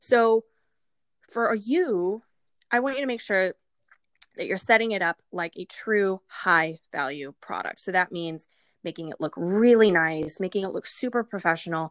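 A woman's animated, medium-pitched voice at a moderate pace, with lively intonation, in a dry, close recording with no echo, very clean and with a silent background. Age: 30s. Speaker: business consultant. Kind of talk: interview.

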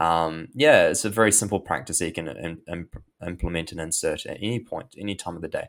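A man with a New Zealand accent speaks in a very deep, low voice with hardly any pauses. The recording is very clean, with a silent background. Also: ordinary pitch variation, fairly quick pace. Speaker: anxiety and mental health coach. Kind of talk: interview, guest explaining mental health and meditation. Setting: podcast interview. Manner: casual, with many fillers and hesitations.

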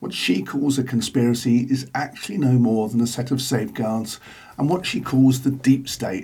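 Somewhat breathy, a man speaks at a moderate pace and medium pitch in a dark, mellow tone, with ordinary pitch variation. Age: 60s. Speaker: podcaster. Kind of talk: scripted monologue.

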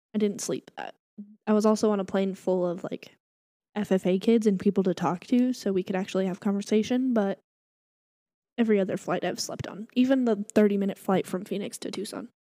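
A woman's dark, mellow tone at medium pitch comes with fairly even intonation in a dry, close sound with no echo. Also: fairly quick pace. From New Mexico, small town. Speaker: podcast host and barista. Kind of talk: casual chat.

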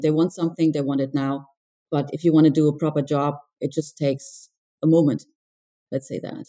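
A woman speaks at a fairly quick pace with a very deep, low pitch, a dark, mellow tone, and fairly even intonation. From England and Germany. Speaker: estate manager and consultant. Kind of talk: casual interview chat. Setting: call.

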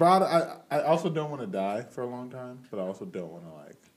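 This man's pitch swings very widely. It rises and falls across a huge range. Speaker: podcast host and college athlete. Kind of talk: casual chat.

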